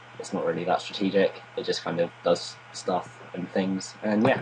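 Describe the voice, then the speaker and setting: Over noticeable background noise, a man speaks quietly. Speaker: gaming commentator. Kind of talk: gameplay commentary. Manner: low-key.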